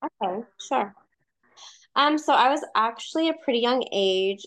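A woman with an American accent and an unremarkable speaking voice talks at a moderate pace with ordinary pitch variation. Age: 30s. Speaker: nurse and mom. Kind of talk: personal storytelling in interview.

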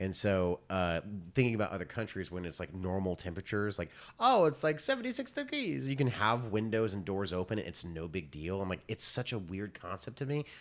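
This is a normal speaking voice, a man with an American accent, fairly low in pitch, talking at a fairly quick pace with lively intonation. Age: 30s. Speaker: podcast co-host. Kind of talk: casual chat.

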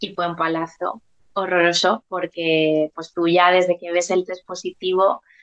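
Her intonation monotone and flat, a woman speaks at a fairly low pitch and a fairly slow pace. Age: 30s. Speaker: preschool teacher and mother. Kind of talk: personal testimony interview.

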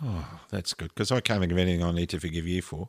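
Very fast speech in an Australian accent, with fairly even intonation, comes through a very clean recording with a silent background and a dry, close sound with no echo. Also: man. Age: 60s. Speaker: podcast co-host, pilot and counsellor. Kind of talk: casual chat.

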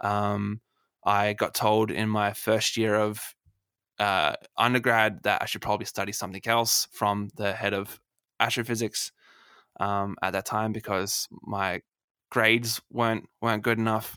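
In an Australian accent, the speaker talks fairly slowly in a monotone, flat intonation with a bright, sharp tone, captured as a dry, close sound with no echo on a very clean recording with a silent background. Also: man, fairly low pitch for a man. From Australia, Adelaide. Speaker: astronomer and science communicator. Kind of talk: casual interview.

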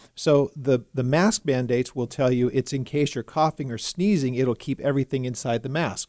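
A man with a plain, everyday voice talks at a fairly high pitch and moderate pace, his sound dry and close with no echo over a quiet background. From California. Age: 50s. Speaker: pastor. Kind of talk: casual studio talk show discussion. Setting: radio studio.

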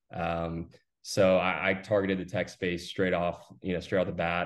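A man with an American accent, very deep and low-pitched, monotone and flat, at a moderate pace over a quiet background. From Austin, Texas. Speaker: recruiting firm founder. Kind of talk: interview.

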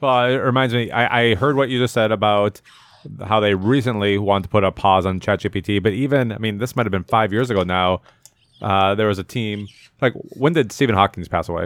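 Fairly low in pitch, a man talks at a fairly quick pace. His is an unremarkable speaking voice with ordinary pitch variation. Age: 40s. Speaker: podcast co-host. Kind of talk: casual chat.

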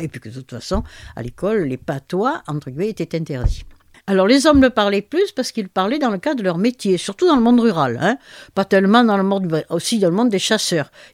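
A woman talking at a fairly quick pace with very wide pitch swings, on a very clean recording against a silent background. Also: dry, close sound with no echo. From Marseille, southern France. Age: 80s+. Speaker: linguist and author. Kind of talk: interview. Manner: hesitant, many fillers.

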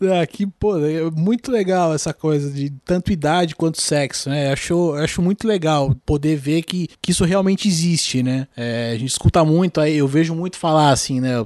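Here is a man with an unremarkable speaking voice and a fairly high pitch. His ordinary pitch variation flows with hardly any pauses. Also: moderate pace, dry, close sound with no echo. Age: 30s. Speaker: podcast host. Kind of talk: casual chat.

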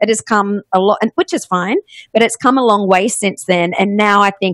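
A woman with an Australian accent speaks at a fairly quick pace with fairly even intonation. The recording is very clean with a silent background, the sound dry and close with no echo. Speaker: podcast agency CEO. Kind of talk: interview.

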